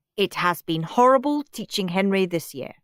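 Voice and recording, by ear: Lively intonation in a natural voice reading aloud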